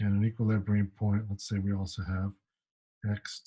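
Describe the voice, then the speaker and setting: Somewhat breathy male voice with a dark, mellow tone. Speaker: math professor. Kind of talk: lecture. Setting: pre-recorded video lecture.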